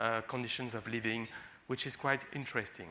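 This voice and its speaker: A man with a French accent and a bright, sharp tone. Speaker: physician and HIV researcher. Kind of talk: conference talk. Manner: halting, many fillers.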